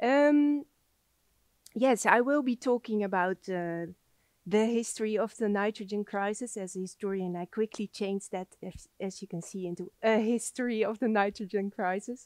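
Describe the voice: A soft-spoken woman talks at a moderate pace, her medium pitch moving with ordinary variation. Her tone is slightly mellow, and the sound is dry and close with no echo.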